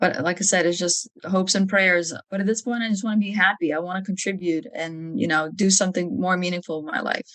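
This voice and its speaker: With hardly any pauses, a woman in a Lithuanian accent speaks at a fairly quick pace. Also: medium pitch for a woman, ordinary pitch variation. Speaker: army officer. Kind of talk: podcast interview.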